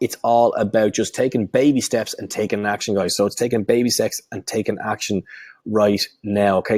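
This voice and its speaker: An animated man with a Dublin accent, recorded with a dry, close sound and no echo. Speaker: online marketing coach. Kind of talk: webinar sales pitch; live training webinar. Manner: slurring words; animated, repetitive.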